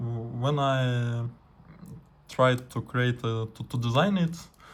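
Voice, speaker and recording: This man's voice sits at a medium pitch with ordinary pitch variation. It is somewhat breathy. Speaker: radio amateur, scientist. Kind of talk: tutorial. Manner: halting, many fillers.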